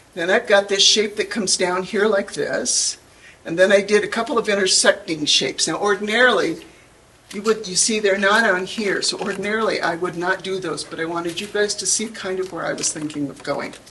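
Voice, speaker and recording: Woman talking at a fairly quick pace over noticeable background noise. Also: medium pitch for a woman, ordinary pitch variation. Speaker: pastel artist giving a demonstration. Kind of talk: live art demonstration. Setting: room with live audience. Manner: chatty, humorous.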